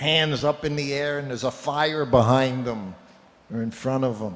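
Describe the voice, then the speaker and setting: A man talks with ordinary pitch variation. Noticeable background noise runs behind him. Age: 70s. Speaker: spiritual speaker telling stories of his teacher. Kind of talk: religious talk with anecdotes.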